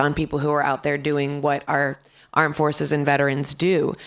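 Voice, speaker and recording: Raspy and very deep, low in pitch, a woman talks at a fairly quick pace. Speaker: voice actor. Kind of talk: panel discussion.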